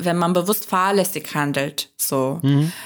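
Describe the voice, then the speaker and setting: Using an unremarkable speaking voice, a woman talks at a fairly slow pace with lively intonation. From Turkey. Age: 30s. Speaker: podcast host and co-host. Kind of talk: casual conversation.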